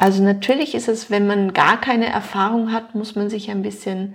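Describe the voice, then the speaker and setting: A woman's somewhat breathy voice. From Luxembourg. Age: 40s. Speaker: nutrition expert. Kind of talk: interview.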